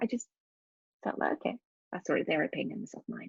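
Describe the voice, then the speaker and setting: Somewhat breathy, a woman speaks with lively intonation in dry, close sound with no echo. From Norway. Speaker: leadership coach and mother of a sick child. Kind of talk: podcast interview.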